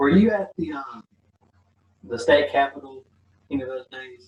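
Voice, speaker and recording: A man speaks with an American accent, somewhat breathy. His pitch variation is ordinary. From US South, Mississippi. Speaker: channel host, interviewer. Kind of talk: interview. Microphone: poor audio, untested.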